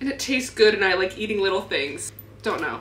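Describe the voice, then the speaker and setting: A woman with an American accent is heard over noticeable background noise and audible room echo. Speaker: fitness vlogger and coach. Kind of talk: casual vlog talk to camera. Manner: animated.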